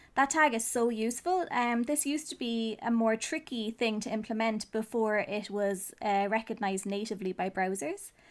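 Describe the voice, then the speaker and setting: A woman's fairly high voice in an Irish accent, at a moderate pace with ordinary pitch variation, on a very clean recording with a silent background. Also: hardly any pauses. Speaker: web designer, SEO teacher. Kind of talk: tutorial talk to camera. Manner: casual.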